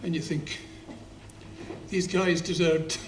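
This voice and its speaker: Audible room echo surrounds a man with a Scottish accent whose voice sits fairly high in pitch. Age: 70s. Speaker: poet. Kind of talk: spoken-word performance with anecdotes. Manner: halting.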